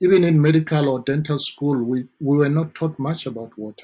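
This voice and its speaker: A man speaks in a strong South African accent. His pace is moderate and his intonation fairly even. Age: 40s. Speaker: dentist. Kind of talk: interview.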